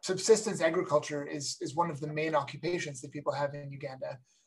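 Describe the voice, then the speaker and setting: The voice moves at a very fast pace and sounds somewhat breathy. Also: man. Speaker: computer science professor. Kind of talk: lecture. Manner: halting, many fillers.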